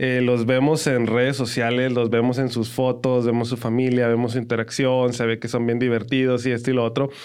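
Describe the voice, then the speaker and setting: A man speaks at medium pitch and a fairly quick pace. His loudness stays very even, with hardly any pauses. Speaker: podcast co-host with his wife. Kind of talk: casual chat. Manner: animated.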